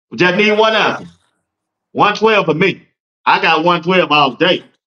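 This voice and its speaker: A man with an American accent uses a raised, projected voice at a high pitch. His tone is bright and sharp, and his intonation lively. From Georgia, US. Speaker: sports talk show host. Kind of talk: casual sports talk livestream.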